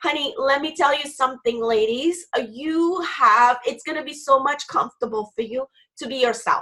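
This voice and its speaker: A woman with a high pitch speaks in a raised, projected voice with a bright, sharp, animated tone, big swings in loudness and ordinary pitch variation. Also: moderate pace. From Haiti. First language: French. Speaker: business coach. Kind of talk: interview.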